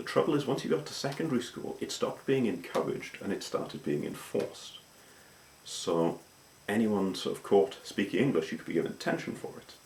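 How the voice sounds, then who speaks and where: Speaking at a fairly quick pace with a slight Welsh accent, a man lets his loudness swing widely. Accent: anglicised Welsh, slight Welsh. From Wales. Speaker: vlogger. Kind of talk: casual talk to camera.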